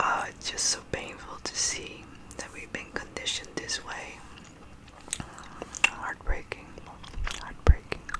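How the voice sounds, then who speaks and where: A woman whispers at a fairly slow pace with long, frequent pauses, against noticeable background noise. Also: big swings in loudness. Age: 30s. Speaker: ASMR creator. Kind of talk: ASMR quote reading and rambling. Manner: soft-spoken, whispered.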